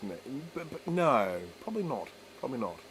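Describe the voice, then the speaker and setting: A man with an Australian accent, amid noticeable background noise. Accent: Australian, slurred. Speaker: electronics repair streamer. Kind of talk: live stream chat while repairing. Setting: live stream. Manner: casual, chatty.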